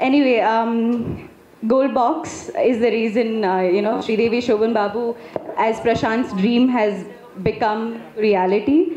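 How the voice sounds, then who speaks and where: Her voice is fairly high-pitched, and this woman keeps a fairly slow pace at a very even loudness. Audible room echo and light background noise are present. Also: ordinary pitch variation. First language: not Telugu. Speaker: film actress. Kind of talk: speech at a press event. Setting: stage at a film pre-release event. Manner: halting, many fillers. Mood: warm, grateful. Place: stage. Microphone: handheld.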